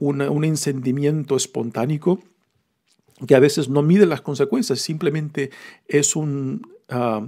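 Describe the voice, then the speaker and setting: A man's voice sits fairly high in pitch, with a dark, mellow tone and ordinary pitch variation. He talks at a fairly slow pace with long, frequent pauses. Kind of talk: homily-style scripture reflection. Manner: conversational, explanatory, with hesitations and fillers.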